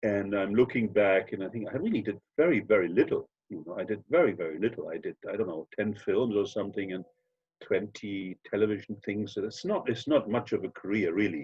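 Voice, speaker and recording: A man talks at a fairly quick pace with a German accent. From Germany. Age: 60s. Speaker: actor. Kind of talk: interview. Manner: halting.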